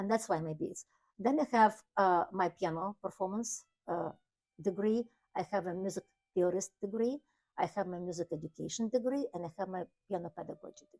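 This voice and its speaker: A slight Ukrainian accent, fairly quick pace broken by long, frequent pauses, ordinary pitch variation, big swings in loudness, and a dry, close sound with no echo. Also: woman, medium pitch for a woman. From Ukraine. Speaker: piano teacher. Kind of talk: interview. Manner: halting.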